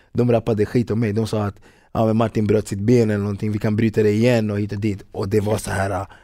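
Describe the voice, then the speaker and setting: A man's fairly low, dark and mellow voice, monotone and flat, at a very fast pace on a very clean recording with a silent background. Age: 30s. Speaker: footballer and rapper. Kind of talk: casual interview.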